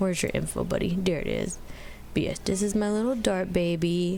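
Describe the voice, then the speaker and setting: Fairly quick pace from a woman, amid noticeable background noise and audible room echo. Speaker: gaming YouTuber. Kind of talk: casual gameplay commentary. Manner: loud; animated.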